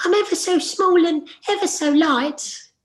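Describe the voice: The voice is a put-on character voice at an extremely high pitch. It moves at a moderate pace.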